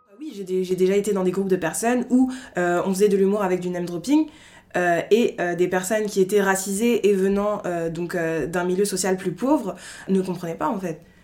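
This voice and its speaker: A woman talks at a moderate pace with ordinary pitch variation. Her pitch sits in the medium range. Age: 20s. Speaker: podcast guest. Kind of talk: casual interview, personal testimony. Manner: hesitant, many fillers (euh).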